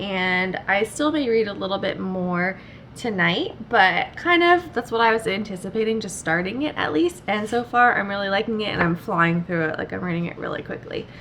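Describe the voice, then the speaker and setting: Lively intonation marks this woman's medium-pitched voice, delivered at a moderate pace with hardly any pauses. Noticeable background noise is present. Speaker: book vlogger. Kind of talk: casual vlog talk.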